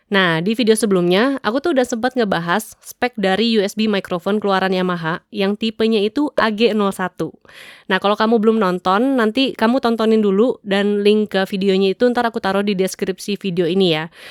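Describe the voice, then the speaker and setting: Her pitch medium and her pitch variation ordinary, a woman speaks with hardly any pauses in a very clean recording with a silent background and a dry, close sound with no echo. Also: fairly quick pace. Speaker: tech reviewer on audio gear channel. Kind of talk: product tutorial. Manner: casual, chatty.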